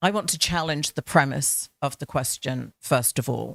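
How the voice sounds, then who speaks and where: A woman speaks with a British accent in a very deep, low voice with ordinary pitch variation. The sound is dry and close with no echo, on a very clean recording with a silent background. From Britain. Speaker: panel speaker, academic. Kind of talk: panel discussion. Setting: event with live audience. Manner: hesitant, many fillers.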